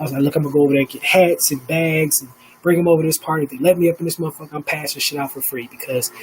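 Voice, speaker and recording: A man's voice sits fairly high in pitch against noticeable background noise. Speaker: live stream host. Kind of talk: casual live stream monologue. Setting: home studio, live stream. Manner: animated, profane; stuttering.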